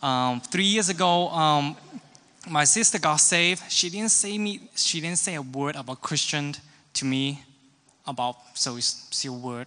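A man's bright, sharp voice with a Hong Kong accent and ordinary pitch variation. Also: fairly high pitch for a man, fairly slow pace. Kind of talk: testimony. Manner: halting.

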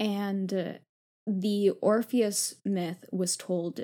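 Her voice is medium-pitched with a dark, mellow tone, and the woman keeps her intonation fairly even. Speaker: law fellow and author. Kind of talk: casual chat.

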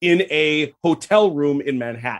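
Lively in intonation, a man with a fairly high pitch talks in a plain, everyday voice. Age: 50s. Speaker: history enthusiast podcast guest. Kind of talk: casual chat.

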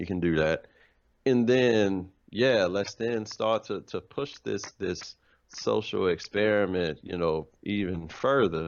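The pace is fairly slow. A man talks with ordinary pitch variation. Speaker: works with kids, youth mentor. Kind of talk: casual chat.

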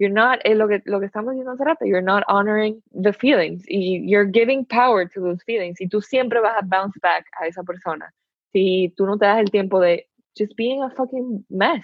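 A woman talks at a moderate pace with a medium pitch and ordinary pitch variation. It is an ordinary speaking voice. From Dominican Republic. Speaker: university student. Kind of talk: casual chat. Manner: code-switching Spanish and English.

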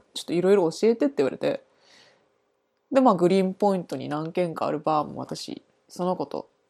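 A woman's fairly low, dark and mellow voice, fairly quick with lively intonation, big swings in loudness, and long, frequent pauses. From Japan. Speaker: art student. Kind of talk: casual chat.

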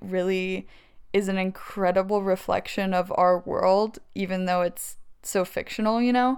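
A woman speaks at a fairly slow pace with an unremarkable speaking voice. Her pitch is medium. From US South, Tennessee (Maryville). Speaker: filmmaker. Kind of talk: casual chat.

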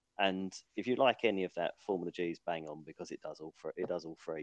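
This man's pitch is very deep and low, and his pace is very fast. His loudness swings a lot, in a dry, close sound with no echo. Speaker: racing driver. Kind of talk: casual chat.

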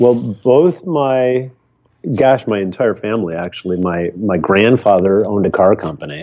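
In an American accent, a man talks at a moderate pace in a fairly low pitch with lively intonation. He has an ordinary speaking voice. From US Midwest. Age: 60s. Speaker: photographer. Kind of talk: casual interview.

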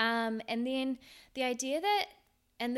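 In a New Zealand accent, a woman speaks at a high pitch on a very clean recording with a silent background. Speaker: podcast host. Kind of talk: casual solo podcast talk. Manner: casual, with frequent fillers; laughs now and then.

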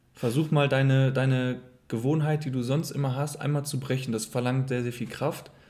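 In a room with audible echo, a man talks at a moderate pace and medium pitch with flat, monotone intonation. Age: 20s. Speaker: host's partner. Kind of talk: casual chat.

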